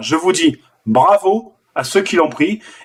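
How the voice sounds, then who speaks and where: A high-pitched male voice with lively intonation. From southern France. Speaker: forex trader and trading teacher. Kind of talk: live trading session with viewers. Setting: live stream on video call and online video. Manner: casual and animated.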